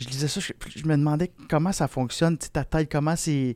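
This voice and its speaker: In a Quebec accent, a man talks at a very slow pace with a fairly high pitch and ordinary pitch variation, the sound dry and close with no echo on a very clean recording over a silent background. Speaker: podcast host. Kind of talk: casual interview chat. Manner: hesitant, many fillers.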